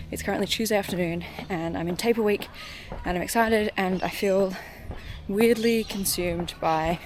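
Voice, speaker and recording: A woman's medium-pitched voice, with ordinary pitch variation, is heard over noticeable background noise. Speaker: running vlogger. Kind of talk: vlog monologue. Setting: outdoors on a walk. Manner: fast.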